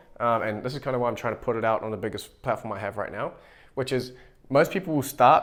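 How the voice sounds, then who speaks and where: A man with a New Zealand accent talks at a very fast pace. His medium-pitched voice comes through a very clean recording with a silent background. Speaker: YouTuber and AI agency owner. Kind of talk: whiteboard tutorial to camera. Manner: fast, with frequent self-repeats and fillers.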